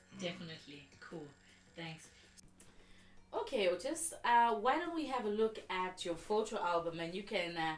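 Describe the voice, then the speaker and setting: A woman at medium pitch with very wide pitch swings, a moderate pace and long, frequent pauses, music playing in the background. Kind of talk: interview host introduction.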